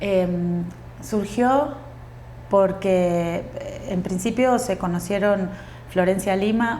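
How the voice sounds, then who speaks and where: The voice has fairly even intonation, heard with audible room echo. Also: woman. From Uruguay. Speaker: actress and tango dancer. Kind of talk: podcast interview.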